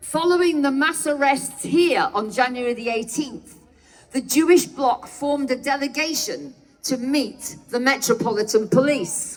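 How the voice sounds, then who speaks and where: A woman with a British accent speaks at a fairly slow pace and high pitch, with ordinary pitch variation, over noticeable background noise. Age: 70s. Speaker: activist speaker. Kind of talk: protest speech. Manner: formal.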